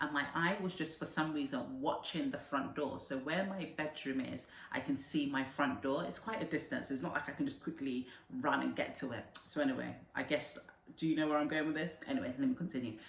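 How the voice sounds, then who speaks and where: Noticeable background noise beneath fairly quick speech of ordinary pitch variation. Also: woman, very deep, low pitch for a woman. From Nigeria. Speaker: vlogger. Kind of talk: casual storytelling vlog. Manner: animated.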